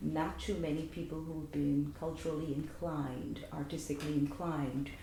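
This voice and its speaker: In a Guyanese accent, a woman with a very deep, low pitch speaks at a fairly slow pace with ordinary pitch variation, and audible room echo surrounds her voice. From Guyana. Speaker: cultural association organizer. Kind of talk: interview.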